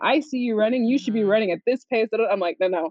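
With a fairly high pitch and fairly quick pace, a woman talks in an ordinary speaking voice. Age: 30s. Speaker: wedding and branding photographer. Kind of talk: casual chat.

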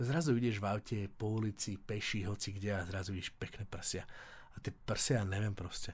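On a very clean recording with a silent background, a man's voice comes through somewhat breathy. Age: 40s. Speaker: businessman and podcast co-host. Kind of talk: casual chat.

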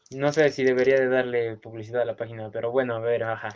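A man talks with a Mexican accent at a fairly quick pace. His intonation stays fairly even. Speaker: podcast co-host. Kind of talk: casual chat.

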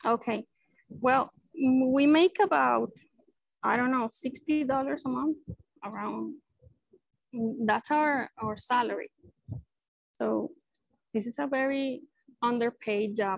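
A woman with a Spanish accent speaks very slowly at a high pitch with ordinary pitch variation and long, frequent pauses, in a dry, close sound with no echo. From Venezuela (Maracay). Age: 30s. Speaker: neurosurgeon. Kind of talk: casual interview.

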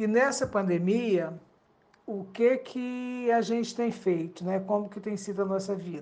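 In an ordinary speaking voice, a woman talks at a fairly slow pace, her medium pitch showing ordinary variation. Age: 60s. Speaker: retiree. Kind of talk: recorded testimony.

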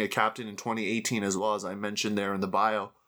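With a Canadian accent, the speaker goes at a very fast pace in a bright, sharp tone. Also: man. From Canada. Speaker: podcast host and sports commentator. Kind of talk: casual interview. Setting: video call.

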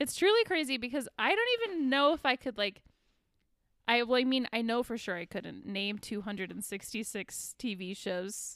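A woman uses an ordinary speaking voice, fairly high in pitch. She moves at a moderate pace with lively intonation. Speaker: podcast host. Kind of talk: casual chat. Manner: casual, chatty.

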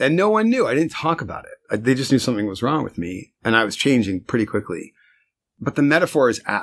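A man with an American accent at a very fast pace, medium in pitch, in a very clean recording over a silent background. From New Jersey. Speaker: marketing executive. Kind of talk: interview. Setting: office.

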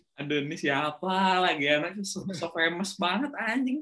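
A man's raised, projected voice sits at a high pitch, swinging very widely in pitch at a moderate pace. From Indonesia, Bandung. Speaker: podcast host. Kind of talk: casual chat.

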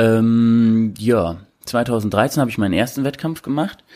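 Recorded very clean against a silent background, a man speaks at a medium pitch with fairly even intonation and a dark, mellow tone. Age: 20s. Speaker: bodybuilder and prep coach. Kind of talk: casual interview.

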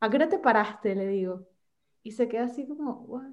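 This is a woman speaking. Her pitch is high. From Venezuela. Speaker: podcast guest. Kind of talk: casual chat.

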